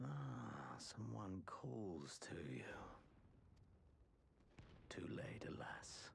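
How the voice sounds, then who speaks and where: In a put-on character voice, a man speaks raspy and very deep, with a very low pitch, at a very slow pace with long, frequent pauses over clear background noise. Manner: eerie, ominous.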